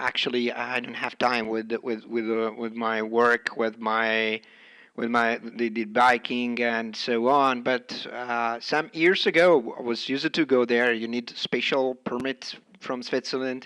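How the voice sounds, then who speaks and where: The man's tone is bright and sharp. He talks at a fairly slow pace with fairly even intonation. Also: medium pitch for a man. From northern Italy. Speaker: amateur radio operator. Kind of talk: radio contact conversation. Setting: amateur radio transmission. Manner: halting.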